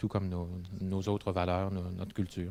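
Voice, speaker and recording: Very deep and low in pitch, a man with a Quebec accent talks at a fairly quick pace in a dark, mellow tone. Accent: Québécois French. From Quebec City, Quebec. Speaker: English-French interpreter. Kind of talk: interview testimony. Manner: hesitant, many fillers and repetitions.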